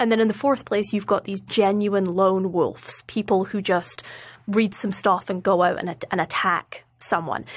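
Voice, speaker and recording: A woman with a Scottish accent, medium pitch, fairly even intonation and a moderate pace. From Scotland. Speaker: foreign policy researcher. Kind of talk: interview.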